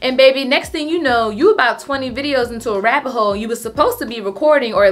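A woman speaks in a high pitch with ordinary pitch variation. Her very fast pace leaves hardly any pauses. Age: 30s. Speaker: lifestyle content creator. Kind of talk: casual vlog tutorial. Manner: animated. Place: home room.

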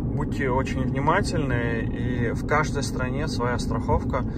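A man at a very slow pace, dry with no echo, against loud background noise. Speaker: travel vlogger. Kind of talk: casual vlog chat. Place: car. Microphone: phone near.

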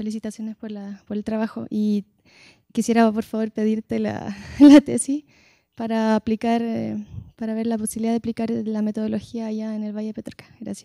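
Against a quiet background, a woman with a Chilean accent speaks fairly quickly in a dark, mellow tone with monotone, flat intonation and a dry sound with no echo. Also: fairly high pitch for a woman. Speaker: geologist; audience member. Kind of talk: audience comment. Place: hall. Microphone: handheld.

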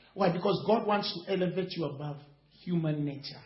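With audible room echo, a man talks at a fairly quick pace in a high voice with ordinary pitch variation. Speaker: preacher. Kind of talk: sermon. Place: hall.

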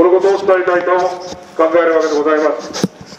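This man's voice comes with noticeable background noise and audible echo from the room. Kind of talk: rally speech. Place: street. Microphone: pa.

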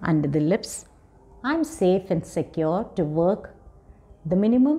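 At a fairly slow pace, a woman with a fairly low pitch speaks in a calm, soothing, dark and mellow tone. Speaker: counseling psychologist. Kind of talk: guided meditation. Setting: video. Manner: calm, slow, soothing; gentle, instructive. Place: home room.

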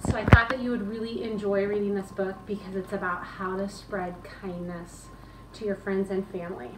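A woman talks at a moderate pace. Noticeable background noise runs under her voice. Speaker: school teacher. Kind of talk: bedtime story read-aloud to children. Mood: warm, gentle, expressive. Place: home room. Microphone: camera far.

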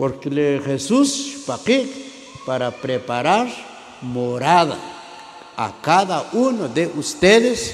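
A man talks at a slow pace, his pitch making big swings. Audible room echo surrounds the voice.

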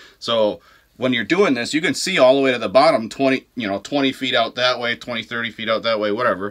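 Speaking at a fast pace, a man with a medium pitch and a fairly bright tone uses ordinary pitch variation.

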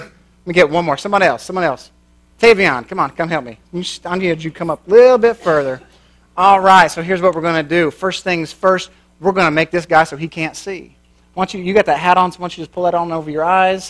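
Over a quiet background, a man with a high voice speaks at a fairly quick pace, with ordinary pitch variation and big swings in loudness. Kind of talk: sermon. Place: church.

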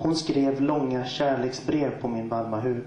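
A man speaks fairly slowly with fairly even intonation. Audible room echo and light background noise are present. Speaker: guest poet. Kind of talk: poetry slam performance, spoken word poetry. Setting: stage with audience. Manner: rhythmic, wordplay-heavy delivery with repeated phrases and deliberate pauses. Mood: soft, sensual, intimate. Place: stage. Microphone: pa.

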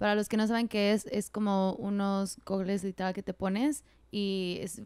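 In a dry sound with no echo over a quiet background, the speaker delivers everything in a monotone, flat intonation. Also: woman. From Mexico, Morelos; Mexico. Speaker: podcast host. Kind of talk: casual interview. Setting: in person, Monterrey. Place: home room. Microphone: handheld.

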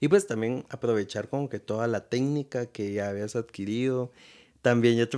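A man talks with ordinary pitch variation against a quiet background. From Guatemala. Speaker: podcast host. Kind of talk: interview. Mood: relaxed, smiling. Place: home room. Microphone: studio mic.

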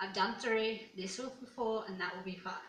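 Audible room echo and light background noise surround a voice with an Australian accent. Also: woman. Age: 20s. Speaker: YouTuber. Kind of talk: casual vlog. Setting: at home alone. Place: home room.

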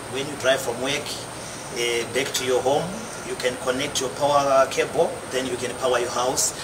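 The speech moves at a moderate pace. Noticeable background noise runs underneath. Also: man. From Zimbabwe. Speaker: inventor. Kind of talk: product demonstration. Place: street. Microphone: lapel.

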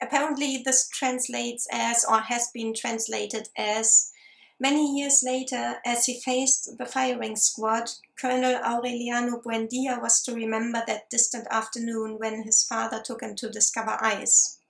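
A woman's fairly bright, fairly high voice with vocal fry, little pitch movement and a moderate pace

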